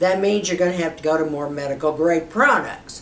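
There is audible room echo as a woman talks. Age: 70s. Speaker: beauty YouTuber. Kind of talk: tutorial. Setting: studio. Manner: animated. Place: home room.

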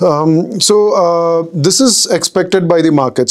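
A man is speaking, his pitch varying in an ordinary way. Behind him the background stays quiet. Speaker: market analyst. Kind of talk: interview answer. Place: studio. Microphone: lapel.

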